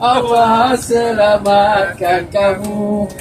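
The speech moves at a very slow pace. Background noise is noticeable throughout. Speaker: tour guide. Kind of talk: joking banter with passengers. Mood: jovial, teasing. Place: bus.

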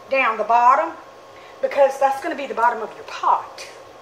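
Audible room echo and light background noise surround a woman speaking at a moderate pace with a high pitch. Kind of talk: tutorial. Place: workshop.

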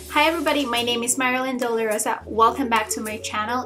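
Clear music sounds behind a woman as she talks. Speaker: beauty vlogger. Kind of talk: casual vlog chat. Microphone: webcam.

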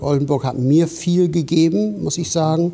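A man speaks in a dark, mellow tone with an English accent. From England. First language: English (speaking German). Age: 60s. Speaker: osteopathy teacher. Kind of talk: interview. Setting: studio. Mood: calm, reflective. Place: studio. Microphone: lapel.

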